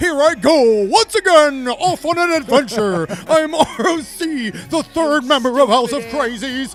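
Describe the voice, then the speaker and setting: A man's put-on character voice over faint background music. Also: moderate pace. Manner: heroic, bombastic.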